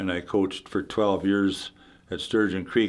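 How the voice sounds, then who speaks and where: This man has a very deep, low pitch and a Canadian Prairie accent. He talks at a moderate pace on a very clean recording with a silent background. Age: 80s+. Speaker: retired hockey player. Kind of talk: interview. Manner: halting.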